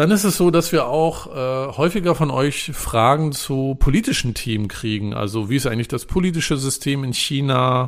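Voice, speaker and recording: With a plain, everyday voice, a man talks at a moderate pace and fairly high pitch, lively in intonation and with hardly any pauses. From northern Germany. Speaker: podcast co-host, journalist. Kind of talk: casual chat.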